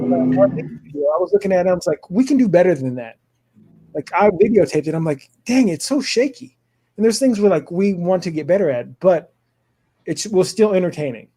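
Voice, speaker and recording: Loud and high-pitched, a man with a dark, mellow tone speaks at a fairly quick pace, his pitch swinging very widely. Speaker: battle report content creator. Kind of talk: casual chat. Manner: animated.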